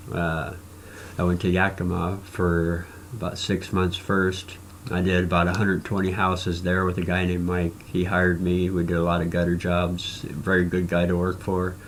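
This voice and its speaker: In a Midwestern US accent, the speaker talks at a moderate pace with monotone, flat intonation and very even loudness, while audible room echo fills the space. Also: man, very deep, low pitch for a man. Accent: US Midwest. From Nebraska. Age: 40s. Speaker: cancer patient vlogger. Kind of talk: personal video blog testimony. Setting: recording to camera. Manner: halting with frequent fillers.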